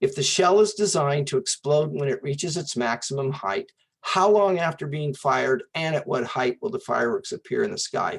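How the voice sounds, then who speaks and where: The speaker goes at a fairly quick pace with hardly any pauses. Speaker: math teacher. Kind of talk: online class review lecture. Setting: Zoom video session. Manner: casual, halting with fillers.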